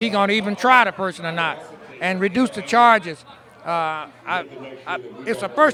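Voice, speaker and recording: A raised, projected voice carries lively intonation. Crowd noise sounds in the background. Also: man. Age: 60s. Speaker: radio reporter. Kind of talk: street interview.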